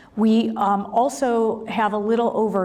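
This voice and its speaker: Woman with an American accent and fairly even intonation, heard with audible room echo and noticeable background noise. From US Midwest, Cleveland suburb. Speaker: government program director. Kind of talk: conference presentation.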